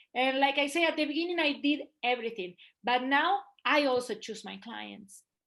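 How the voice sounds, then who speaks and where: In a Spanish accent, a woman talks at a moderate pace and high pitch with ordinary pitch variation and big swings in loudness against a quiet background. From Argentina. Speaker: photographer. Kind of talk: casual interview.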